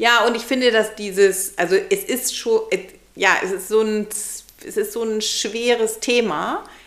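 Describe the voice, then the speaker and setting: With noticeable background noise, a woman speaks at a fairly slow pace in a fairly high voice with ordinary pitch variation. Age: 40s. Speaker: podcast co-host. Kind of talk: casual chat.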